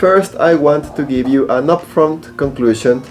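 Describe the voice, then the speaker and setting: Moderate pace in a Spanish accent, with music in the background. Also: man. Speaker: flight instructor and YouTuber. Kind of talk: casual tutorial review.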